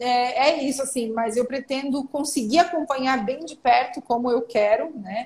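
Speaking at a fairly slow pace, a woman with a high pitch shows ordinary pitch variation and big swings in loudness. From Santa Catarina, southern Brazil. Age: 30s. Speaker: political journalist and commentator. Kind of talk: casual interview.

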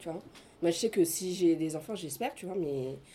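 Her fairly low-pitched voice has a dark, mellow tone, and this woman uses ordinary pitch variation. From France, Senegalese family. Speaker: afrofeminist activist. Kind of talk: casual chat.

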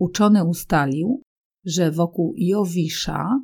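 A woman's dark, mellow, somewhat breathy voice at medium pitch, at a very slow pace. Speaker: Polish language teacher. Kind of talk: educational reading for language learners. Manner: clear, measured.

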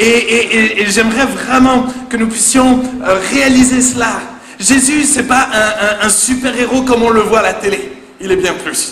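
A man with a high pitch speaks at a fairly slow pace with ordinary pitch variation. Audible room echo and noticeable background noise surround him. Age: 20s. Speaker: pastor. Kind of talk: sermon. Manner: animated.

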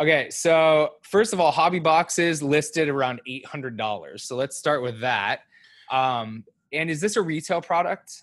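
Using a normal speaking voice, a man talks at a moderate pace with a fairly high pitch and lively intonation. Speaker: podcast co-host. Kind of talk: casual chat. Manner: joking.

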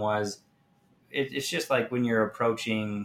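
A man at a fairly low pitch and a moderate pace

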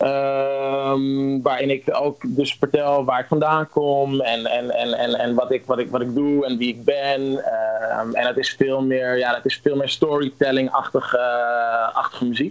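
Delivery is fairly slow and monotone, with flat intonation. Background noise is noticeable. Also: man. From Netherlands. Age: 20s. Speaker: musician. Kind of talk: interview. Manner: halting, many repetitions.

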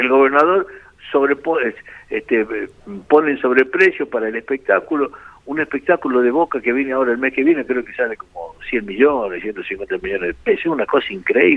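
Pausing long and often, a man talks at a fairly quick pace over noticeable background noise. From Argentina, La Rioja. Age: 70s. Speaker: motorsport organizer and local politician. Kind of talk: phone interview.

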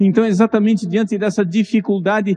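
A Brazilian accent in a dry, close sound with no echo. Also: man. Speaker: preacher. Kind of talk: sermon. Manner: animated; earnest.

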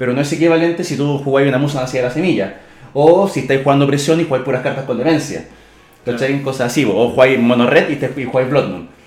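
A man with a Chilean accent talks at a very fast pace and a fairly high pitch, with audible room echo. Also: ordinary pitch variation. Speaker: podcast co-host. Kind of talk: casual chat.

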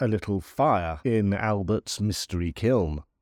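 A man speaks at a very slow pace in a theatrical, dramatic tone. The sound is dry and close with no echo, on a very clean recording with a silent background. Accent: British. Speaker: podcast host and folklore author. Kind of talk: history documentary narration, scripted-style storytelling of island legend. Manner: measured, formal, dramatic storyteller with wry humour; deliberate, theatrical pacing with ornate vocabulary.

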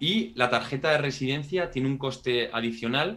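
Lively intonation marks a man's voice at a medium pitch. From Spain, Pamplona (Navarre). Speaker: residency relocation consultant. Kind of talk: interview.

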